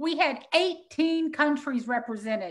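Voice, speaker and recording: Her voice is raised and projected, high-pitched, with a bright, sharp tone. The woman has a Texas accent and ordinary pitch variation. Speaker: animal sanctuary founder and summit co-host. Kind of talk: live stream promo. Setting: live video. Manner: animated.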